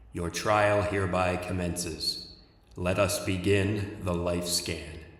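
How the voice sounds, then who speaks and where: Booming with a clear echo, a man puts on a character voice that is very deep and low, fairly slow and flat in monotone. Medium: read story. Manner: cold, toneless, emotionless, formal.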